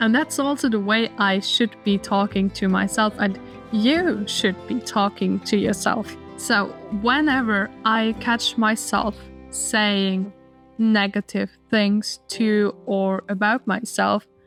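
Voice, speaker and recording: Over music in the background, a woman speaks at a very slow pace with very even loudness. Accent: German. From Austria. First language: German. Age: 20s. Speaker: lifestyle vlogger. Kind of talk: casual advice talk.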